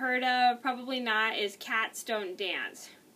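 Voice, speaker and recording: A woman's high-pitched voice. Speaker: video blogger movie reviewer. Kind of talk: casual monologue video. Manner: casual, slightly rambling. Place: home room. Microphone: webcam.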